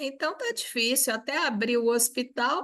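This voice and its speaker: Over a quiet background, a woman with a high pitch speaks at a very slow pace, with ordinary pitch variation. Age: 70s. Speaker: session moderator. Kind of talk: moderating Q&A.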